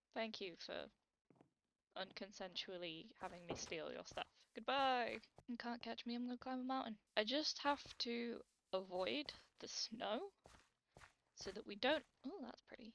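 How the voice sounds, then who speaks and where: A woman with a British accent speaks at a fairly high pitch and a moderate pace. She takes long, frequent pauses. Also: ordinary pitch variation. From Britain. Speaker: gaming YouTuber. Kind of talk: let's play commentary. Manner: animated.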